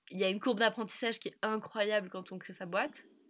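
A woman speaks in a medium pitch with ordinary pitch variation, in a very clean recording with a silent background. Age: 20s. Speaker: food brand co-founder. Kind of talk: interview.

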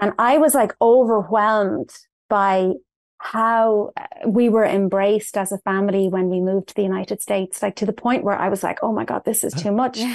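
Someone with an Irish accent speaks at a moderate pace with ordinary pitch variation, against a quiet background with a dry, close sound and no echo. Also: woman, medium pitch for a woman. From Ireland, north Dublin. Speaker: personal development coach. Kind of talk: interview.

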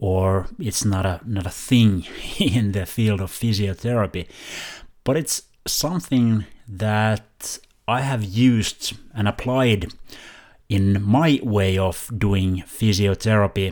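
A man with a non-native accent speaks at a very slow pace and a fairly low pitch with ordinary pitch variation. The recording is very clean, with a silent background. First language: not English. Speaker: physiotherapist and podcast host. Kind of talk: scripted intro; casual chat. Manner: halting.

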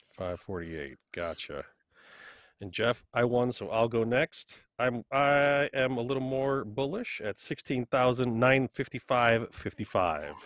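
Against a quiet background, a man at medium pitch talks at a fairly slow pace with lively intonation, the sound dry and close with no echo. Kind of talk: casual podcast interview.

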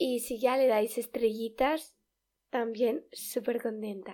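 In a Spanish accent, a woman talks at a fairly slow pace with fairly even intonation. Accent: Peninsular Spanish. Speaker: podcast host. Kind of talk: casual solo podcast talk. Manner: hesitant, many fillers.

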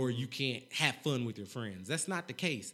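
This man has a plain, everyday voice at a medium pitch, with an American accent. He talks at a fairly quick pace. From North Carolina. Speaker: mental health and financial literacy advocate. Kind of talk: casual interview.

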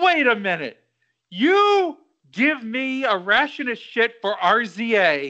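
With a raised, projected voice, a man speaks at an extremely high pitch in a bright, sharp tone with very wide pitch swings. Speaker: podcast host. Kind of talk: casual chat.

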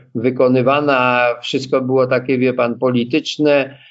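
This man speaks very slowly at a medium pitch. His intonation stays monotone and flat. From Poland, Częstochowa area. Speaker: beekeeper. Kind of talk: casual interview.

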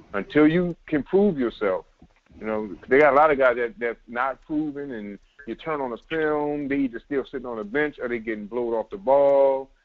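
A man's fairly high voice in a New Orleans accent, moderate in pace, with ordinary pitch variation. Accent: New Orleans Southern. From New Orleans, US South. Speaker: semi-pro football player. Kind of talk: casual sports podcast interview.

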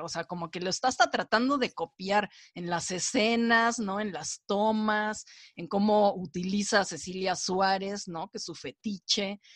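A fairly slow voice with a Mexican accent, dry and close-miked with no echo. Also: woman. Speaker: film and series critic. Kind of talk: casual chat.

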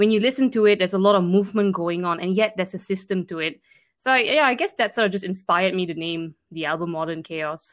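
A woman at a very fast pace, with ordinary pitch variation and a quiet background. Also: medium pitch for a woman. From Malaysia. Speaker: musician and composer. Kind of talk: interview.

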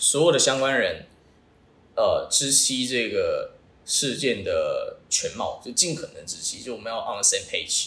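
A man speaks at a fairly slow pace with big swings in loudness and noticeable background noise. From Taiwan. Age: 20s. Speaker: startup founder. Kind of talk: interview.

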